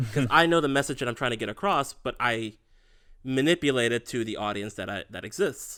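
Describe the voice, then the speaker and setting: Medium pitch from a man with a bright, sharp tone, ordinary pitch variation, and a fairly quick pace, on a very clean recording with a silent background. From raised partly in Miami. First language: Spanish. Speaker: podcast co-host. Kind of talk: casual chat.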